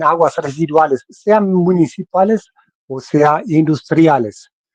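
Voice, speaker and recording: A man with a German accent speaks very slowly at a fairly high pitch. The sound is dry and close, with no echo. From Germany. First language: German (speaking Spanish). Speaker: membrane technology engineer. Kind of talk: technical webinar presentation. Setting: online webinar. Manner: halting, self-correcting.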